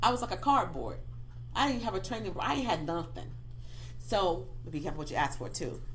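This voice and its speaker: Amid audible room echo, a woman speaks at a very fast pace in an animated tone, with long, frequent pauses. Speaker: pastor and life coach. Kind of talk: radio interview, personal testimony.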